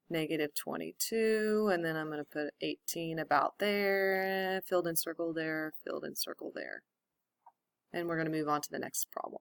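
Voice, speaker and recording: In a plain, everyday voice, a woman speaks at a moderate pace with fairly low pitch and fairly even intonation, the sound dry and close with no echo. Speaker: math teacher. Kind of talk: lecture.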